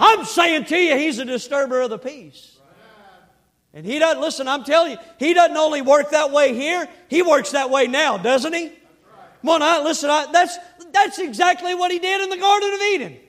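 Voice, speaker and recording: An extremely high-pitched male voice with an animated tone, ordinary pitch variation and a moderate pace. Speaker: preacher. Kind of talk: sermon. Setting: church. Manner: animated, fervent, call-and-response preaching.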